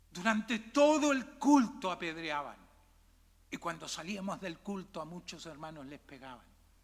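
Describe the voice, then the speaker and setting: Talking at a fairly slow pace, a man with high pitch makes very wide pitch swings and big swings in loudness. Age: 60s. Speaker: pastor. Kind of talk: sermon. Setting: church.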